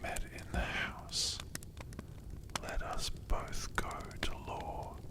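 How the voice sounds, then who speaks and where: Whispered words come at a very slow pace, with noticeable background noise present. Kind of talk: whispered ASMR audiobook reading for sleep.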